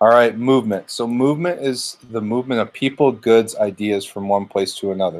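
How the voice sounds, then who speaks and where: Recorded very clean with a silent background, a man with an ordinary speaking voice talks at a fairly quick pace with hardly any pauses, medium pitch and ordinary pitch variation. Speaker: schoolteacher. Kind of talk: recorded lesson. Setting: home living room.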